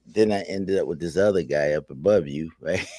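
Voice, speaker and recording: With music in the background, a man talks at a fairly low pitch. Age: 60s. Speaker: internet radio host. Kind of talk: casual chat. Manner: animated.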